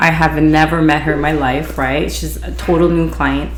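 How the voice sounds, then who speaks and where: Fairly quick female speech amid noticeable background noise and audible room echo. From Hawaii, Honolulu. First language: Hawaiian Pidgin. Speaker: beautician and podcast host. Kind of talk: casual podcast storytelling. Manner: casual, conversational.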